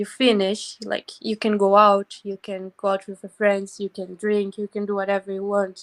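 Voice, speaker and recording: In a Brazilian Portuguese accent, a woman speaks at a medium pitch and moderate pace with monotone, flat intonation, big swings in loudness and hardly any pauses, the sound dry and close with no echo. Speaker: volunteer abroad. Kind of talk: casual interview.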